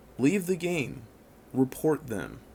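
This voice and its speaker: Speaking at a very slow pace, a man's voice carries vocal fry. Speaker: gaming YouTuber. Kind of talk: video commentary monologue.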